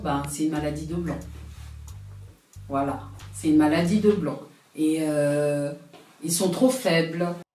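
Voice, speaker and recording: Over music in the background, a woman with a very deep, low voice speaks at a very slow pace, her intonation lively and her pauses long and frequent. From France, of Congolese heritage. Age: 30s. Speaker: customer service technician. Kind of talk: interview answer.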